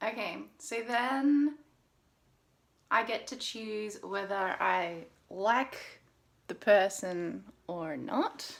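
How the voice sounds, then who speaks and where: In an Australian accent, a woman speaks very slowly at a fairly high pitch with long, frequent pauses. Her loudness swings widely. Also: lively intonation. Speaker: dating coach. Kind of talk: vlog commentary; casual chat. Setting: video call.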